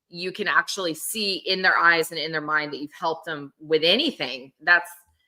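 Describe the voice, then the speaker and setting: The pace is moderate and the pitch variation ordinary. Loudness swings a lot. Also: woman, fairly low pitch for a woman. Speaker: photographer and conference speaker. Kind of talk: casual chat. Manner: animated.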